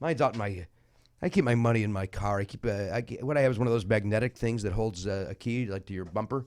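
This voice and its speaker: A man speaks at a very fast pace. His fairly low voice carries an animated tone. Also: ordinary pitch variation. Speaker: comedian podcast host. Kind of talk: casual chat.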